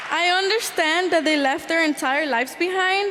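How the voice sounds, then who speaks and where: Moderate pace with ordinary pitch variation. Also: woman. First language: Spanish. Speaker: youth program participant, student speaker. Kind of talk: prepared testimony speech.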